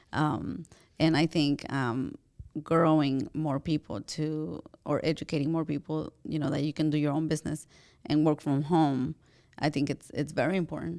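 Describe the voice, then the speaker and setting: At a moderate pace, a woman in a Spanish accent speaks with a very deep, low pitch, a dark, mellow tone and fairly even intonation, in a very clean recording with a silent background. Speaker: podcast host. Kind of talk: casual interview chat.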